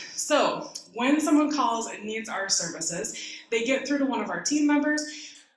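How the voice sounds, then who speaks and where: With ordinary pitch variation, a woman speaks in a room with audible echo. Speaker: guest. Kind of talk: talk at a community forum.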